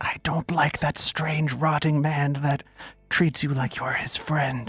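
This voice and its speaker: A raspy, whispered, put-on character voice moves at a fairly slow pace. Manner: whispering.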